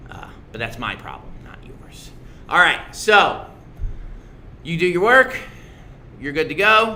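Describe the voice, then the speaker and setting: A man at a moderate pace, with audible room echo. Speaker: middle school social studies teacher. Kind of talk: casual livestream review for students. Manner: loud; animated.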